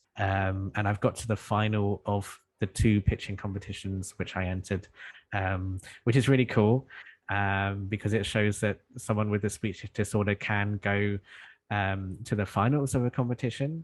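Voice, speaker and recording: In a British accent, a man talks at a moderate pace with a fairly low pitch and fairly even intonation against a quiet background. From United Kingdom. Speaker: entrepreneur, founder of a tech company. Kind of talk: interview answer.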